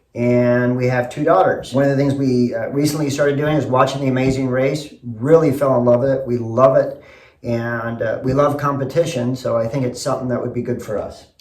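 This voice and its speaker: Someone with an American accent speaks fairly quickly in a flat monotone, with audible room echo and noticeable background noise. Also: man, medium pitch for a man. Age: 60s. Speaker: construction company owner. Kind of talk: audition video.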